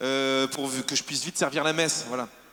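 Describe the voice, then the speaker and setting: There is noticeable background noise. Over it, a man talks at a medium pitch and a moderate pace. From southern France, Var. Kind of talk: testimony. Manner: animated.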